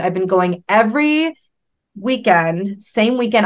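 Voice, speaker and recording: A normal speaking voice, a woman with an American accent. Her pitch is medium and her pace moderate. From central Massachusetts. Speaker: entrepreneur. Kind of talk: interview conversation.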